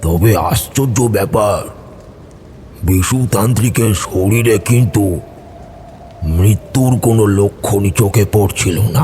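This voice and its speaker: Over clear background noise, a man puts on a character voice, fairly low in pitch and fairly slow in pace. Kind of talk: horror narration. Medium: audio drama.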